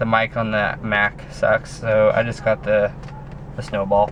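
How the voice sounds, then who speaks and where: There is noticeable background noise as a man talks fairly slowly. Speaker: pro cyclist vlogger. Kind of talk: casual vlog monologue. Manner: loud; halting, many fillers.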